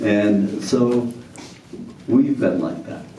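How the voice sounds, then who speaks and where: Delivered at a very slow pace, the speech carries audible room echo and noticeable background noise. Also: man. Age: 80s+. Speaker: community development scholar. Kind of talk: talk to an audience. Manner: halting, with repeated words and fillers.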